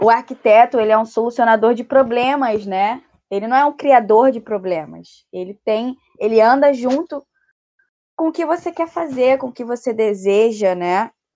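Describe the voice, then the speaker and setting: A woman speaks at a moderate pace with a fairly high pitch, a dark, mellow tone and ordinary pitch variation. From Brazil, Rio de Janeiro. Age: 20s. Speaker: architecture student, podcast co-host. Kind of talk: casual chat.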